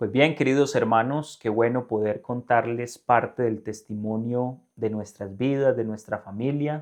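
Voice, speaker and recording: A man with a plain, everyday voice, a medium pitch, fairly even intonation and a fairly slow pace. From Colombia, northern Valle del Cauca. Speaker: religious presenter. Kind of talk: interview.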